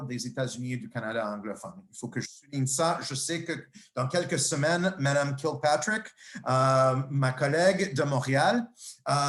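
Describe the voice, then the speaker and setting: A man's fairly high voice with lively intonation at a moderate pace. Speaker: nursing professor and researcher. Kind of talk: lecture. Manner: halting, many fillers and repetitions.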